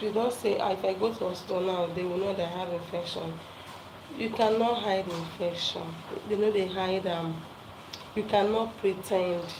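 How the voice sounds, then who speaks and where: Over noticeable background noise and audible room echo, a woman talks at a moderate pace and a medium pitch. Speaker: health talk presenter. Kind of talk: live talk to viewers. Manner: loud; animated.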